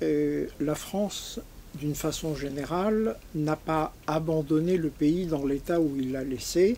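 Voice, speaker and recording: At a very slow pace, a man talks in a fairly high voice with ordinary pitch variation. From Algeria (Algiers), left at 14. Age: 80s+. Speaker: audience member. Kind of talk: audience question at book talk.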